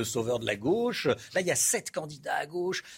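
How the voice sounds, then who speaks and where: Very wide swings in pitch from a man at a moderate tempo, the recording very clean and the background silent. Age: 50s. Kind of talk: live news presenting.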